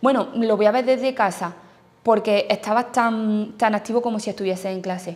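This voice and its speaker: A woman's fairly high voice with fairly even intonation at a moderate pace. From Andalusia, Spain (Jaén). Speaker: newly qualified primary school teacher. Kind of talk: testimony. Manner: halting. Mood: relaxed, positive. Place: classroom.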